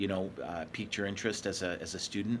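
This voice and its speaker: A man with an ordinary speaking voice talks at a fairly quick pace, his fairly low pitch carried on fairly even intonation. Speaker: podcast host. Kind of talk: casual interview.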